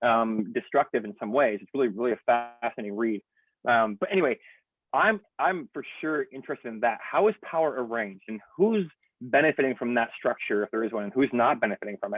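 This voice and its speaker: A loud man's voice at medium pitch, with lively intonation and a fairly quick pace. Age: 40s. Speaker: pastor. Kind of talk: casual chat. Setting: video call.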